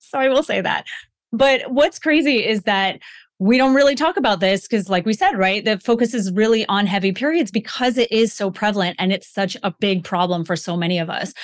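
Over a quiet background, a woman speaks fairly quickly in a normal speaking voice at a fairly high pitch. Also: lively intonation. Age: 40s. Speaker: women's health coach and author. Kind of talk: casual interview chat.

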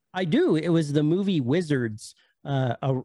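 Against a quiet background, a man with a normal speaking voice and a fairly high pitch talks at a moderate pace with ordinary pitch variation, the sound dry and close with no echo. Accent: American. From US. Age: 40s. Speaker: YouTuber, VHS collector. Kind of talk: casual chat. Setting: video call.

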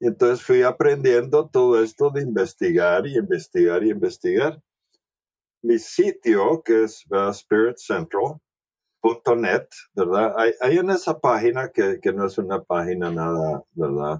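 Speaking at a fairly slow pace, a man keeps a medium pitch that swings very widely. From El Salvador. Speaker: naturopath. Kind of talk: interview. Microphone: noisy recording, microphone issues.

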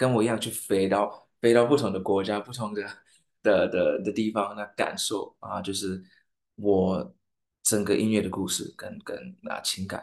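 A man at medium pitch with ordinary pitch variation, speaking at a moderate pace against a quiet background. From Saint Lucia. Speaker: singer. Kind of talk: interview. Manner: halting.

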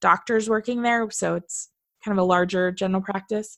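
A woman with a Californian accent at medium pitch, moderate pace, a dry, close sound with no echo, and a quiet background. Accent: California. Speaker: veterinary technician and podcast host. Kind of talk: casual chat. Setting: studio. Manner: animated.

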